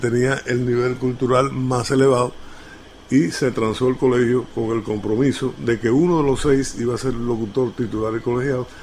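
Amid noticeable background noise, a man in an eastern Cuban accent speaks at a fairly quick pace in a medium-pitched, monotone, flat voice. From Cuba, La Maya (Oriente). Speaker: radio announcer. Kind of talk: interview answer.

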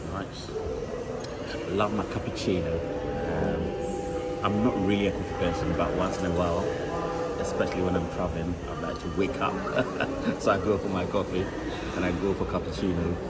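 Amid loud background noise, a man speaks at a moderate pace with long, frequent pauses. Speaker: travel vlogger. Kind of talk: casual vlog chat. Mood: cheerful, laughing. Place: station. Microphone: phone near.

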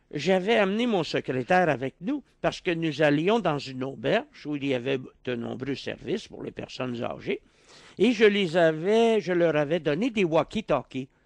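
Speaking in a Quebec accent at a moderate pace, a man uses lively intonation against a quiet background, with a dry sound and no echo. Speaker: philosopher; interview guest. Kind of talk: radio interview. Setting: radio studio. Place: studio. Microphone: studio mic.

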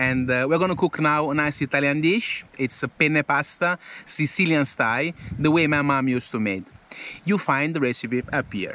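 A bright, sharp tone at a moderate pace, with ordinary pitch variation, light background noise, and a dry sound with no echo. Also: man. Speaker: travel vlogger. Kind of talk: casual vlog chat. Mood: relaxed, upbeat. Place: open country. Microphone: phone near.

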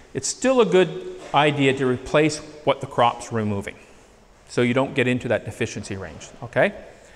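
At a moderate pace, a man with a Canadian accent speaks with very wide pitch swings. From Northern Ontario, Canada; Ontario, Canada. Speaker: agronomist / soil lab specialist; presenter. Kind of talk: presentation to farmers; lecture. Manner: conversational, with filler hesitations. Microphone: handheld.

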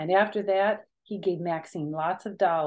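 A natural reading voice with ordinary pitch variation comes through against a quiet background.

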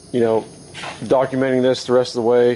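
A man's speech comes with light background noise. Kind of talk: casual vlog chat. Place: workshop. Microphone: phone near.

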